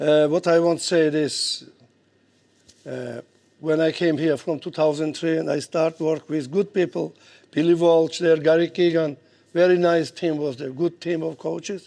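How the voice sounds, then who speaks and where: A man with a Georgian accent speaks at a moderate pace in a dark, mellow tone with a fairly high pitch. His intonation is monotone and flat, and the background is quiet. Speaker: boxing coach. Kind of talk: speech at an event. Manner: halting.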